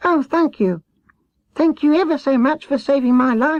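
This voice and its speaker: This is a put-on character voice, squeaky and high in pitch. It moves at a moderate pace. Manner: grateful.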